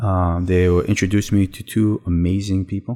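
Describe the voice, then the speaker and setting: On a very clean recording with a silent background, a man with a New York accent speaks in a very deep, low, flat monotone with a dark, mellow tone. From Brooklyn, New York (born in Israel, moved at four). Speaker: real estate lawyer. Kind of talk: interview conversation.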